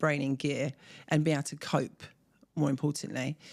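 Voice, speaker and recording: Speaking fairly quickly with a southern English accent, a woman uses a very deep, low pitch and vocal fry in a very clean recording with a silent background. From southern England, Surrey. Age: 40s. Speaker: mother of four, expat. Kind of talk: interview.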